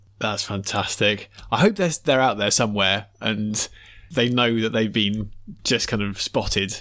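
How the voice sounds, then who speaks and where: A man with a British accent speaks at a fairly low pitch with a bright, sharp tone and ordinary pitch variation. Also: fairly slow pace. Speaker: podcast co-host. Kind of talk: casual chat about music.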